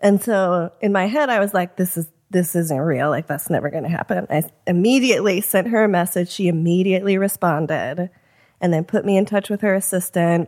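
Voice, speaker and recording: A woman's plain, everyday voice with an American accent, medium pitch, ordinary pitch variation and a fairly quick pace. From US Midwest, Chicago. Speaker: screenwriter. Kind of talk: casual interview.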